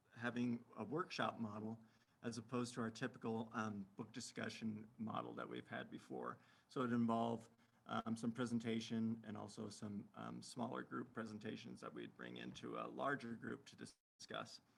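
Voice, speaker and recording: A quiet man's voice at a moderate pace. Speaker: librarian presenter. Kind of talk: webinar presentation. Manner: too quiet; halting, many fillers.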